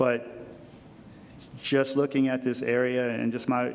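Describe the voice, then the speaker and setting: Over noticeable background noise, the voice moves at a moderate pace with monotone, flat intonation. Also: man. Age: 60s. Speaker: planning commissioner. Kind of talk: public meeting comment. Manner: halting, many fillers and repeats.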